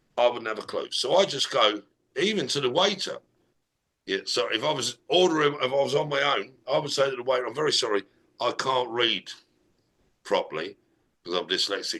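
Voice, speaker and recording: Bright and sharp in tone, a man with an English accent speaks at a moderate pace with lively intonation and a fairly high pitch. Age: 60s. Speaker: business strategist. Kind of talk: casual conversation.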